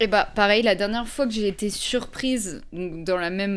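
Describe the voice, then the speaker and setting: On a very clean recording with a silent background, a woman in a plain, everyday voice speaks at a fairly slow pace with ordinary pitch variation. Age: 20s. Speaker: photographer and YouTuber. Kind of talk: casual chat. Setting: home studio with candle, evening.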